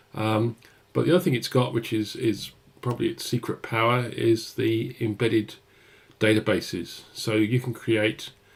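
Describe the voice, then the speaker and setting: A man with a British accent speaks at medium pitch and a moderate pace. His voice is somewhat breathy, with fairly even intonation. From UK. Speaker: software developer advocate. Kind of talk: live-stream coding tutorial. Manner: hesitant, many fillers.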